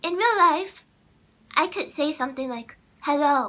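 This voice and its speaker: A woman is talking. Her voice sits high. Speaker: content creator. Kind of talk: casual vlog monologue. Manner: halting.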